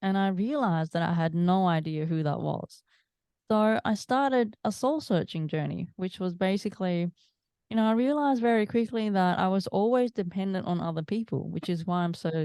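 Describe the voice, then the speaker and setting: Speaking in an Australian accent, a woman moves at a fairly quick pace with lively intonation at a medium pitch. The background is quiet. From Australia, Melbourne. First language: Italian. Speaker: mindset coach. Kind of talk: interview.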